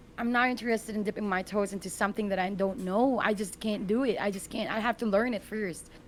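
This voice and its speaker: With a non-native accent, a woman speaks at medium pitch and a very fast pace, hardly pausing, her intonation fairly even. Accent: foreign. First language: not English. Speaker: gaming content creator and commentator. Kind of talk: casual podcast interview.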